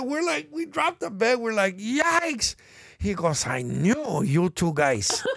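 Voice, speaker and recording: Against noticeable background noise, a man with a high-pitched voice talks at a fairly slow pace. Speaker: bandmate and musician. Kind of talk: casual chat telling stories.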